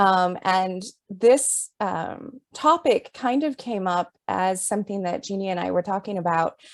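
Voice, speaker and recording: A woman speaks in an ordinary speaking voice at a medium pitch, with lively intonation and a fairly slow pace. She hardly pauses, and the sound is dry and close with no echo. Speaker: author and writing professor. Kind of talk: presentation. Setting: video call.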